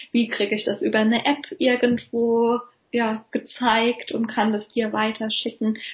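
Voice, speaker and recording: This woman has a fairly high pitch. Her intonation is monotone and flat. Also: fairly slow pace. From Germany, Palatinate (Kaiserslautern). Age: 30s. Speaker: physiotherapist. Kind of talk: interview. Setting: video call.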